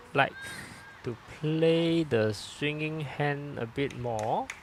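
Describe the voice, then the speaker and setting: Over noticeable background noise, a man with a fairly high pitch and ordinary pitch variation speaks at a very slow pace. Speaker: lawn bowls commentator and coach. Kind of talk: live sports commentary. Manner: speaking louder after feedback.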